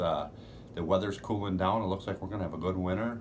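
A man speaks with a very deep, low pitch and fairly even intonation. Light background noise sits behind him. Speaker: fishing guide. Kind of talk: promotional chat to camera. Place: home room. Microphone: phone near.

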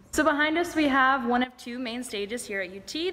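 Over light background noise, a woman talks fairly quickly in a normal speaking voice with lively intonation. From Texas, Houston. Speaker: acting student; student tour guide. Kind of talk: campus tour presentation. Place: hall. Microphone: phone near.

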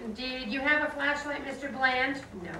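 Over noticeable background noise and audible room echo, a woman speaks fairly slowly at a high pitch. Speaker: reader performing a trial transcript. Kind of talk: dramatic reading of courtroom dialogue. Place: classroom.

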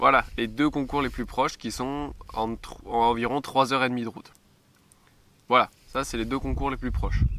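The speech moves at a fairly slow pace, with a dry sound and no echo. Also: man. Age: 20s. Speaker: model glider pilot, YouTuber. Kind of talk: vlog monologue. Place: open country.

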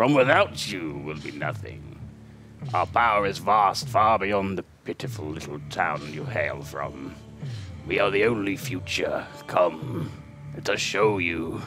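Over clear background music, a man speaks at a fairly slow pace in a croaky, put-on character voice with a fairly low pitch. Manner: menacing, grandiose.

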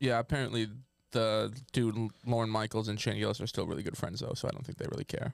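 A man speaks very fast with fairly even intonation. The sound is dry with no echo, and the background is quiet. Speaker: comedian podcast host. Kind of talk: casual comedy banter. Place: studio. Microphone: studio mic.

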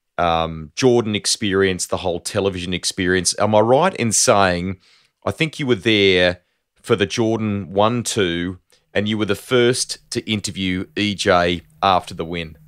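Against a quiet background, a man with an Australian accent talks at a moderate pace, his fairly low pitch showing ordinary variation. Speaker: motorsport podcast host. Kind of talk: interview with scripted intro. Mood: warm, smiling, friendly. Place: home room. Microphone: studio mic.

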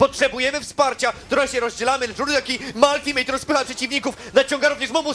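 A man's raised, projected voice at an extremely high pitch, playful and theatrical in tone, with music in the background. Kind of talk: esports match commentary. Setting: broadcast stream commentary. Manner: loud, fast, excitable, shouting with rising hype; playful, theatrical, joking with co-caster.

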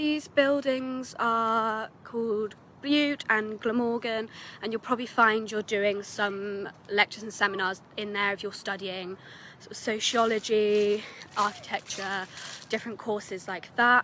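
A woman's bright, sharp tone at a fairly slow pace, fairly even in intonation, dry with no echo, over light background noise. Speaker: student guide. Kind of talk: casual vlog chat. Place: street. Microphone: phone near.

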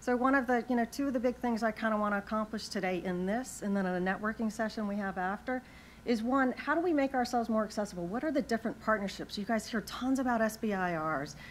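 A woman speaks at a very fast pace with hardly any pauses. Her pitch variation is ordinary, with light background noise behind her. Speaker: panel moderator. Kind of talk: conference panel introduction. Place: hall. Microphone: lapel.

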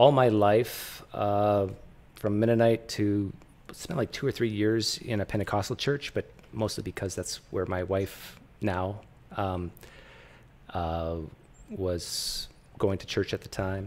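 With long, frequent pauses, a man speaks at a fairly slow pace in a fairly low pitch with fairly even intonation. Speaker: host interviewer. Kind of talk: casual personal story in an interview.

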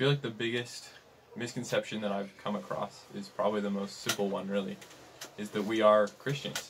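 Noticeable background noise sits behind a man's voice. He speaks at a fairly low pitch and a fairly quick pace. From Utah. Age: young. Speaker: missionary; podcast guest. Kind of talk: interview conversation. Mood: earnest, sincere. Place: home room.

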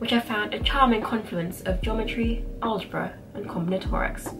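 A woman speaks at a moderate pace in a fairly high voice, with noticeable background noise. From England. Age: 20s. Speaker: maths graduate. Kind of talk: reading aloud. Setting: bedroom. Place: home room. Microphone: camera far.

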